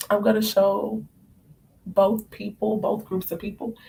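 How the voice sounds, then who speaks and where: The woman's voice is medium in pitch and somewhat breathy. Her intonation stays fairly even. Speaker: spiritual card reader. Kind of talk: live stream reading. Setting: live stream at home, late night.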